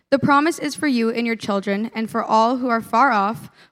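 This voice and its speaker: A woman talking at a fairly quick pace in a very clean recording with a silent background. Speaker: youth leader. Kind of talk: sermon. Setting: stage with audience.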